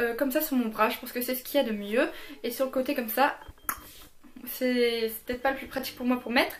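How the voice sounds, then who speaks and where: Over noticeable background noise, a woman with a high voice speaks at a fairly quick pace and with fairly even intonation. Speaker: beauty youtuber. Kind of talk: product review. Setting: home filming in daylight. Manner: fast.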